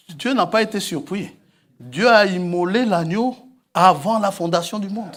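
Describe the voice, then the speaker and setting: A man with a high pitch speaks at a fairly slow pace. His pitch varies in an ordinary way. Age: 60s. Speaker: preacher. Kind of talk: sermon.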